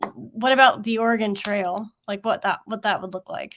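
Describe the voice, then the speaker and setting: The woman's voice sits at a fairly high pitch with ordinary pitch variation. It is a very clean recording with a silent background. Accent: Southern US. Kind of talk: casual teacher talk.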